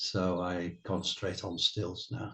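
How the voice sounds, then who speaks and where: A man speaks slowly in a somewhat breathy voice. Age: 70s. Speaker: retired wildlife cameraman. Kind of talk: interview. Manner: halting.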